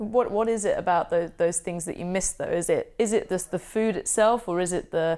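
On a very clean recording with a silent background, a woman with a southern English accent speaks at a moderate pace. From southern England. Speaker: podcast host. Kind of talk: casual interview chat. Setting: in person in London.

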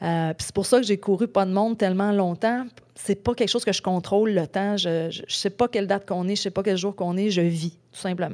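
A woman with a Quebec accent, medium pitch, fairly even intonation and a fairly quick pace. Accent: Québécois French. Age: 40s. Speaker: ultra-trail runner. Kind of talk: casual interview chat. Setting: in-person studio.

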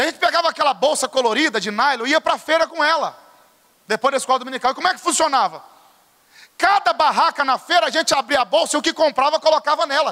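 Raised and projected, a man's animated voice races at a very fast pace with an extremely high pitch, a bright, sharp tone and ordinary pitch variation, in a dry, close sound with no echo. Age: 30s. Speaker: pastor. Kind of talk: sermon.

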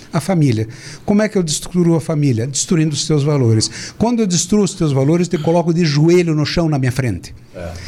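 A man speaks at a fairly quick pace and fairly high pitch with lively intonation. Noticeable background noise can be heard. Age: 60s. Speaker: physician and speaker. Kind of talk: political talk show discussion. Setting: studio, live stream.

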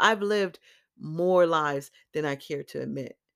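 On a very clean recording with a silent background, a woman with an American accent speaks at a fairly low pitch and moderate pace with ordinary pitch variation. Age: 40s. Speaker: podcast host, electrician. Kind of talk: personal monologue.

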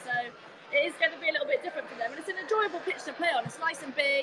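A woman speaks in a raised, projected voice. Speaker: women's football captain and guest pundit. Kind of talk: match punditry chat.

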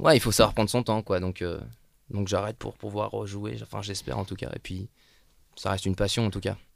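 A man with a fairly low pitch and vocal fry speaks at a fairly quick pace, with long, frequent pauses and ordinary pitch variation. The recording is very clean, with a silent background. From northern France, Lille. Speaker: actor. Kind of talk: casual chat.

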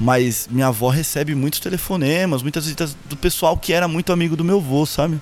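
Ordinary pitch variation and hardly any pauses. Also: man, fairly high pitch for a man. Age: 30s. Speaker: purchasing professional, grandson of a singer. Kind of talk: casual interview chat. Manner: halting, repeats words often.

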